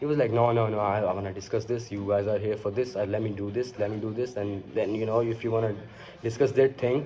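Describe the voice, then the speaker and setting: Amid noticeable background noise, a man with a Pakistani accent speaks at a fairly quick pace and a medium pitch. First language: Urdu. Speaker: vlogger. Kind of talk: casual monologue. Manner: halting, many fillers.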